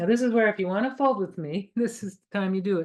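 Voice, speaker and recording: Against a quiet background, a woman speaks at medium pitch with ordinary pitch variation. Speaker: artist and origami craft instructor. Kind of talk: livestream craft tutorial. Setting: livestream. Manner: fast; chatty, enthusiastic.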